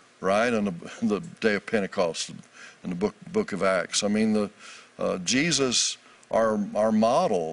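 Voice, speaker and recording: Speaking at a moderate pace, the man has a fairly low pitch with ordinary variation. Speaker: author and minister. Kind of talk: interview about faith.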